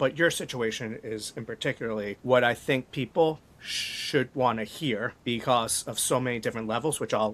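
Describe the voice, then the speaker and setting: This is a man with an ordinary speaking voice, talking at a fairly quick pace. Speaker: podcast host. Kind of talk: podcast interview questions.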